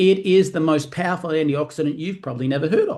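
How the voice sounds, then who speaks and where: With an Australian accent, a man talks at a fairly quick pace and a fairly high pitch, with ordinary pitch variation. The background is quiet. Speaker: network marketing presenter. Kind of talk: sales presentation. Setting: live online stream. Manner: fast.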